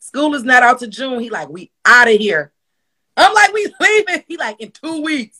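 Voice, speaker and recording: A woman with an American accent uses a raised, projected voice that is high and bright with a sharp tone, its pitch swinging very widely and its loudness rising and falling sharply. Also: moderate pace. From Milwaukee, Wisconsin. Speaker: comedian and skit creator. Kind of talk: casual interview chat.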